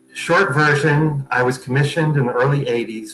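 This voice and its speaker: A man with an American accent speaks at a fairly quick pace over noticeable background noise. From New York (Westchester). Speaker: artist and frame shop owner. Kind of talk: interview conversation. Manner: fast.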